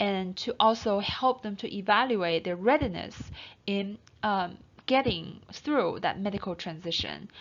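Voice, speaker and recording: With a non-native accent, a woman talks fairly slowly at a medium pitch and ordinary pitch variation. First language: not English. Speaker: counseling instructor. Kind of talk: lecture. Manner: halting.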